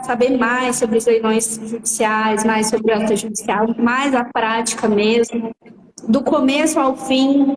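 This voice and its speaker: Noticeable background noise accompanies speech delivered fairly slowly. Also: woman. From Franca, interior of São Paulo, near Minas Gerais. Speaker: auction lawyer. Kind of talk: live stream interview.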